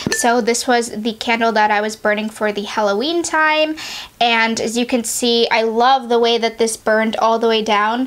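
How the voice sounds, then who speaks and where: With a fairly high pitch and fairly even intonation, a woman talks at a moderate pace while noticeable background noise carries on behind her. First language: not English. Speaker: beauty and candle reviewer. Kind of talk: casual product review vlog. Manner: chatty, many fillers.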